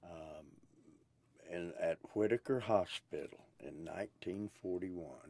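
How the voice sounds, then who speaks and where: At a very slow pace, a man speaks with a very deep, low pitch and ordinary pitch variation. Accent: Oklahoma. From Oklahoma (Pryor/Chouteau, Tulsa). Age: 70s. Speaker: blues musician. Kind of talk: interview. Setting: recording booth. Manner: hesitant, with many fillers.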